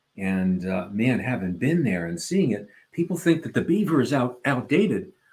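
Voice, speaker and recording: The voice is somewhat breathy, with very wide pitch swings. It moves at a moderate pace. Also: man, medium pitch for a man. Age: 70s. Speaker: podcast co-host. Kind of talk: casual chat. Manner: animated.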